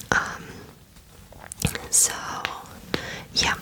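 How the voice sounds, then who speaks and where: Amid noticeable background noise, a woman whispers at a very slow pace. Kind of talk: whispered ASMR Q&A to camera. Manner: whispered, soft, slow with frequent fillers.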